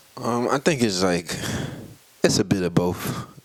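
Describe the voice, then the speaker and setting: A man talks at a moderate pace in a Southern US accent. His pitch moves in an ordinary way. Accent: country-sounding Southern. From US South, Tallahassee, Florida. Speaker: rapper and producer. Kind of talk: casual interview.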